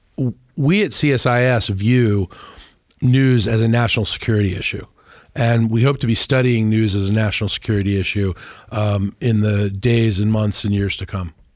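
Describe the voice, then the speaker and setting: Here a man speaks in a normal speaking voice, at a medium pitch with fairly even intonation. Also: moderate pace. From Washington DC area. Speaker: communications executive. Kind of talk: interview. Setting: studio.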